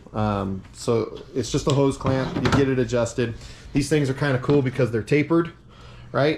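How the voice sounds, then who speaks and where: A man's medium-pitched voice at a moderate pace, with ordinary pitch variation, very even loudness and noticeable background noise. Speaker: race car builder and channel host. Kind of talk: hands-on tutorial. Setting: home garage. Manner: casual with many fillers.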